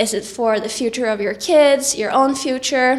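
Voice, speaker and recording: A woman speaks fairly slowly in a Norwegian accent, her intonation fairly even. Noticeable background noise runs underneath. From Norway. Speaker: singer and vlogger. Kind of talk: tutorial.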